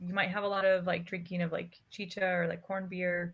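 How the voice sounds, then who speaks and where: This is a woman speaking. Her pitch is medium. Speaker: ethnomusicology professor and mariachi director. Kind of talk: casual chat.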